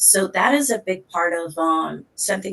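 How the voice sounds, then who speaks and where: Noticeable background noise sits behind a woman's voice. She speaks at a moderate pace with a fairly low pitch. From Hartford, Connecticut, US; Puerto Rican heritage. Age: 20s. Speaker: advocate and entrepreneur. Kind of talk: podcast interview.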